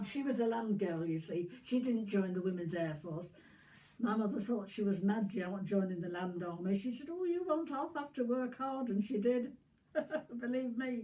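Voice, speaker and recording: A woman speaks in a Yorkshire accent at a moderate pace. Her pitch is fairly high. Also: lively intonation. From Yorkshire, northern England. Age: 90s. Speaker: war veteran. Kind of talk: casual chat. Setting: at home with family, filmed.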